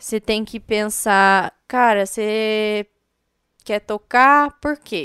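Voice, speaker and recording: Speaking at a very slow pace, a woman with a fairly high pitch and a bright, sharp tone is heard in a dry, close sound with no echo. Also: very clean recording, silent background. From Paraná, Brazil (Paranavaí). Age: 20s. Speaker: DJ. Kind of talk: interview.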